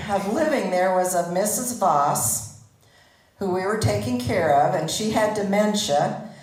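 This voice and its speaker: With audible room echo and noticeable background noise, a woman talks at a fairly slow pace and medium pitch, her pitch swinging very widely. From Netherlands, grew up in Pella, Iowa. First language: Dutch. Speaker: community member telling life story. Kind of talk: personal presentation to audience. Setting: stage with audience.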